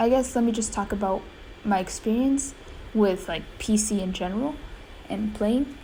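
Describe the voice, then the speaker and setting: A woman speaks at a moderate pace in a fairly high voice, with audible room echo. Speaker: gaming youtuber. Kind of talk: gameplay commentary. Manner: hesitant, many fillers.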